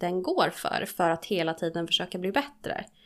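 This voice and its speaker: The speaker is a woman with a medium-pitched voice. She talks fairly slowly. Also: very clean recording, silent background. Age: 30s. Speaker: podcast co-host, studying to be a recovery therapist. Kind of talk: casual chat.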